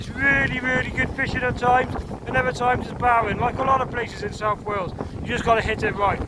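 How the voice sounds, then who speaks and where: Very fast speech over noticeable background noise. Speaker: angler vlogger. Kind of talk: fishing vlog commentary. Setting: outdoors on the shore. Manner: loud, shouting over wind; animated.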